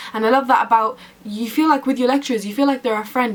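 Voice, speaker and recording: Over noticeable background noise, a woman speaks very fast in an animated tone. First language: Arabic. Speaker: university student vlogger. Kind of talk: casual vlog talk to camera.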